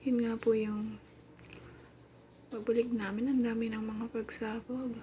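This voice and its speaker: A woman speaks at a fairly slow pace in a dark, mellow tone with a fairly high pitch. Her intonation is monotone and flat. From Philippines. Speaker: domestic worker and vlogger. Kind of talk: casual vlog narration. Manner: chatty.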